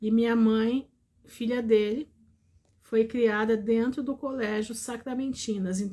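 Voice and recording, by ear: On a very clean recording with a silent background, a woman speaks fairly slowly in a dark, mellow tone, her fairly high pitch held in a monotone with flat intonation.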